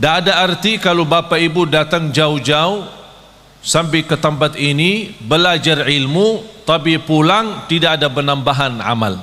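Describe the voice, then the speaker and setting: Someone with an Arabic accent talks at a fairly slow pace with ordinary pitch variation. Noticeable background noise sits behind the voice. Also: man, fairly high pitch for a man, very even loudness. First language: Arabic (speaking Indonesian). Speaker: Islamic preacher. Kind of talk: sermon. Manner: not fully fluent.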